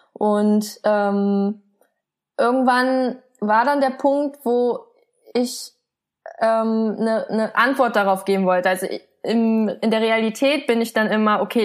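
A woman speaks at a fairly high pitch with ordinary pitch variation and very even loudness. The recording is very clean, with a silent background. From Germany. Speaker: illustrator and comic artist. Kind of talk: interview. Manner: soft-spoken.

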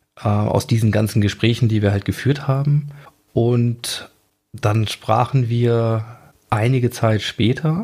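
The voice is somewhat breathy, holding a very even loudness at a very slow pace. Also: man, medium pitch for a man, fairly even intonation. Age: 40s. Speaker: audio biographer and podcast host. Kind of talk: interview. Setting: remote studio link call.

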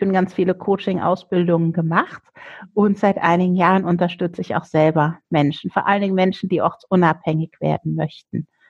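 Here is a woman with a normal speaking voice and ordinary pitch variation. She keeps a moderate pace over a quiet background. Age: 50s. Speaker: coach. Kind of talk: interview.

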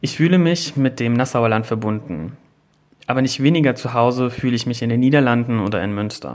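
Moderate pace, medium pitch and ordinary pitch variation from a man. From Germany, near Bad Ems / Koblenz (Rhineland-Palatinate). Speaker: magazine editor. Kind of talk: scripted narration.

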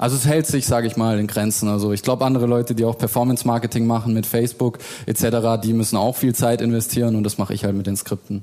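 A man talks very fast at a medium pitch, hardly pausing. His intonation is flat and monotone, and his loudness is very even. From Stuttgart, Germany. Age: 20s. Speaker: insurance broker and YouTuber. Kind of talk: panel discussion. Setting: stage with audience.

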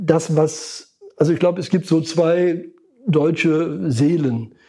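Very slowly, a man with a Lower Rhine accent speaks in a dark, mellow tone with ordinary pitch variation. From Lower Rhine, western Germany. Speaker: psychologist and market researcher. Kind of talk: interview. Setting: in person at his institute in Cologne. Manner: intonation falling at the end of sentences.

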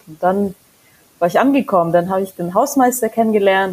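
A woman with a Mongolian accent. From Mongolia, raised in Germany. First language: Mongolian (speaking German). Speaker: singer-songwriter. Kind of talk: casual interview chat. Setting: remote recording.

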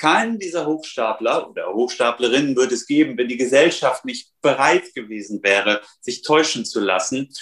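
A plain, everyday voice from a man, medium in pitch, at a moderate pace with hardly any pauses and lively intonation. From northern Hesse, Germany. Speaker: journalist and nonfiction author. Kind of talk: interview. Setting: remote call.

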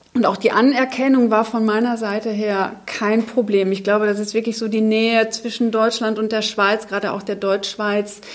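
This woman's fairly high voice stays monotone and flat, moving at a moderate pace with hardly any pauses. Noticeable background noise sits behind her. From Germany, Munich. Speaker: biochemist. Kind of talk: panel discussion. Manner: hesitant, many fillers.

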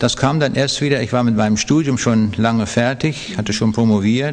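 Medium-pitched male speech at a moderate pace, with fairly even intonation and noticeable background noise. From Lower Saxony, Germany. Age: 70s. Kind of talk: interview testimony.

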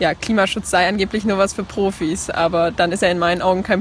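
A woman talks at a very fast pace with monotone, flat intonation. Noticeable background noise runs underneath. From Leipzig, Saxony, eastern Germany. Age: young. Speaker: climate activist. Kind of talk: interview. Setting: at a congress, filmed on camera.

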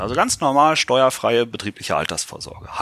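Vocal fry runs under a bright, sharp tone. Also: man, dry, close sound with no echo. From Lower Saxony, Germany (Göttingen). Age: 40s. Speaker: insurance pension expert. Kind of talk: podcast interview.

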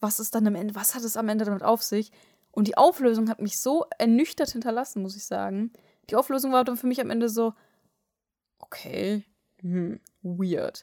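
At a moderate pace with long, frequent pauses, a woman speaks in a fairly high pitch with ordinary pitch variation, in a dry, close sound with no echo. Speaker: anime podcast co-host. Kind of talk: casual chat. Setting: sitting face to face, travel mic.

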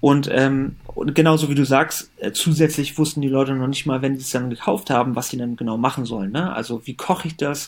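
At a fairly quick pace with hardly any pauses, a man uses an ordinary speaking voice, fairly high in pitch with fairly even intonation. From Germany. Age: 30s. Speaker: company founder. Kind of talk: interview.

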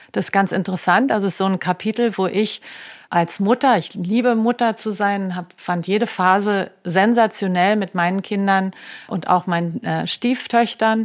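A woman with a plain, everyday voice, medium pitch, fairly even intonation and moderate pace, on a very clean recording with a silent background. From Germany, Berlin. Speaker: health coach and former fashion creative director. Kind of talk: casual interview conversation.

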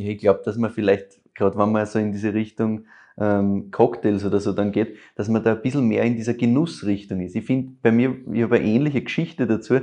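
A man's dark, mellow, fairly low voice in an Austrian accent, at a fairly quick pace with fairly even intonation against a quiet background. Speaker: wine podcaster. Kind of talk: casual chat.

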